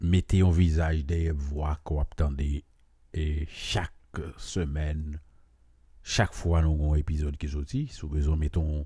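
A man speaks at a very slow pace, somewhat breathy. His voice is very deep and low, with a dark, mellow tone. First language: Haitian Creole (speaking French). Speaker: podcast host. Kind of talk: monologue commentary. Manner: hesitant, many fillers.

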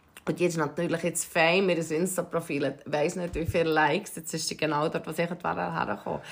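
The speech moves at a moderate pace with hardly any pauses and fairly even intonation. There is vocal fry and a Swiss accent. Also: woman, fairly low pitch for a woman. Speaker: podcast co-host. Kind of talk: casual chat.

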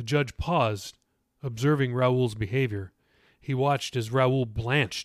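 An unforced reading voice is heard, with a quiet background.

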